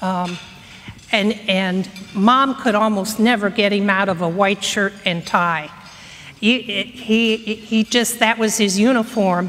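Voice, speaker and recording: Against noticeable background noise, a woman talks very slowly at a medium pitch, keeping her loudness very even. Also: fairly even intonation. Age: 60s. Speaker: speaker on local history. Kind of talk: conference talk. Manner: halting.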